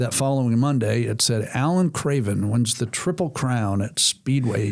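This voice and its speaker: Very even in loudness, a man talks at a moderate pace and a medium pitch. His is a plain, everyday voice with ordinary pitch variation. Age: 60s. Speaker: racing speedway owner, former race driver. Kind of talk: podcast interview.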